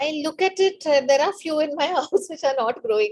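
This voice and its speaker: With lively intonation, a high-pitched woman talks at a fairly quick pace. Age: 60s. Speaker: meditation participant. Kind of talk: testimony.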